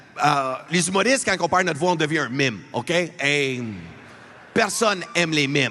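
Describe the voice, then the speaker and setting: With audible room echo, a man of fairly high pitch speaks at a moderate pace with lively intonation and very even loudness. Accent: Albertan. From Alberta, Canada (francophone). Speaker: comedian. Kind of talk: stand-up. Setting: arena stage with audience.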